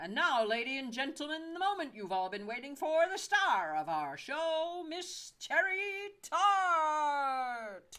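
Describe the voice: Someone uses a put-on character voice with high pitch at a fairly slow pace.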